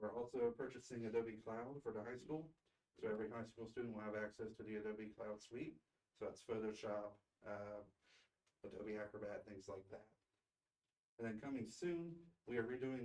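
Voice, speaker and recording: At a fairly quick pace, a man talks with medium pitch and fairly even intonation. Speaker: school district technology director. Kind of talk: presentation report at board meeting. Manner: fast.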